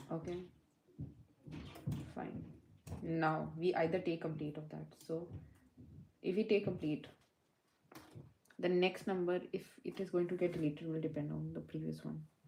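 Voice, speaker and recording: Soft-spoken, a woman talks at a moderate pace with long, frequent pauses. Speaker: coding tutor livestreamer. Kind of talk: live coding session. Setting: livestream. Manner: halting.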